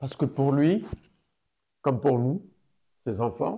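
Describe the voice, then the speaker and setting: A man with a dark, mellow tone at medium pitch speaks very slowly and somewhat breathily. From Morocco (Fès, Casablanca). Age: 70s. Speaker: activist. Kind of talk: interview testimony. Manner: hesitant, many fillers.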